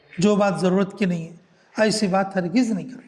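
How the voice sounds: With a dark, mellow tone and a high pitch, a man speaks fairly slowly and fairly evenly amid audible room echo.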